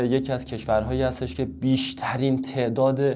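A man at a moderate pace, his intonation fairly even. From Iran. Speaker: Chinese language teacher. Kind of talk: tutorial. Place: home room.

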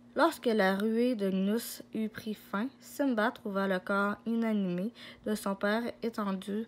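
Fairly even intonation runs through this reading aloud in a natural voice.

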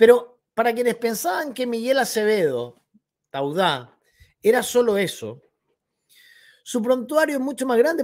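Against a quiet background, a man speaks at an extremely high pitch and a fairly slow pace, with lively intonation. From Chile. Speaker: political commentary youtuber. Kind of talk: opinion commentary monologue. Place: home room.

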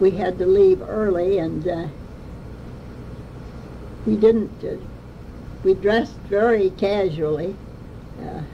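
Very slow pace, fairly even intonation, and light background noise. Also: woman. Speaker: interviewee. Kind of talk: interview answer. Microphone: old recording.

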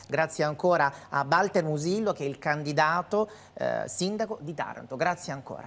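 A woman with a very deep, low pitch, ordinary pitch variation and a moderate pace. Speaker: TV interviewer. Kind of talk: TV interview. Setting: TV studio. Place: studio. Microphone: lapel.

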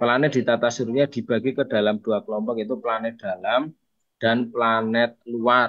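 A man's monotone, flat intonation against a quiet background. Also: moderate pace. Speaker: teacher. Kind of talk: online tutorial session. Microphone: webcam.

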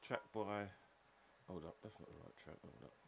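Speaking at a fairly slow pace, a man with a fairly low pitch and vocal fry shows ordinary pitch variation. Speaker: radio DJ. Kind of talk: live radio DJ chat.

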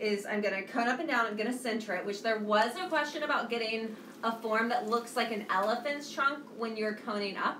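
The voice moves at a fairly quick pace with ordinary pitch variation. There is audible room echo and light background noise. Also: woman. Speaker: ceramics teacher. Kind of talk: live-stream tutorial. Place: studio. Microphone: phone near.

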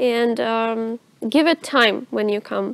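Recorded dry with no echo, a woman with a Russian accent keeps her intonation fairly even. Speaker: student presenter of university open day; student host. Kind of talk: moderated talk show. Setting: studio. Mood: relaxed, friendly. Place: hall.

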